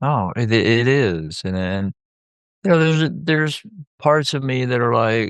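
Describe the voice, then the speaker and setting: Talking fairly slowly with lively intonation, a man with an American accent uses a medium-pitched voice. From US South. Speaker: therapist, podcast co-host. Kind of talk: casual chat.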